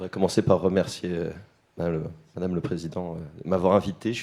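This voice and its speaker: In a put-on character voice, a man speaks very fast with a hoarse, very deep, low pitch and big swings in loudness. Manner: shy.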